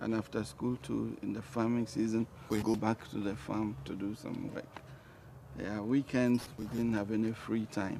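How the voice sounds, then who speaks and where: In a Ghanaian accent, a man speaks at a fairly low pitch. His pitch varies in an ordinary way. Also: moderate pace. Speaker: talk show guest. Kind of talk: interview. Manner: soft-spoken.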